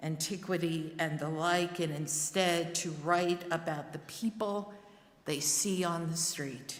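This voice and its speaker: Very slowly and with fairly even intonation, a woman with a New Jersey accent speaks at a fairly low pitch, amid audible room echo and noticeable background noise. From New Jersey, Newark. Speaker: lay worship service leader. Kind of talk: sermon.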